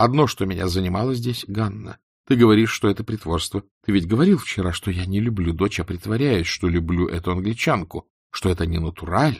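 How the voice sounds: In a put-on character voice with a slightly husky edge and vocal fry, the speaker goes at a fairly quick pace with ordinary pitch variation on a very clean recording with a silent background. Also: man, low pitch for a man.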